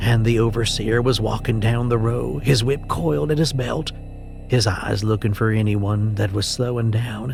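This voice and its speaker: A man talks at a moderate pace. Music can be heard in the background. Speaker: horror story narrator. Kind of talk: horror story narration.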